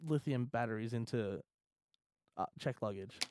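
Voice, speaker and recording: A man with an Australian accent speaks at a fairly quick pace, the sound dry and close with no echo. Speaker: gaming podcast co-host. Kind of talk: casual chat.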